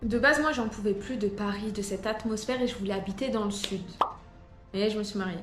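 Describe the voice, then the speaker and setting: A woman talks at a fairly quick pace with a fairly high pitch. Music plays in the background. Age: 20s. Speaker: real estate agent. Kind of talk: casual talk to camera.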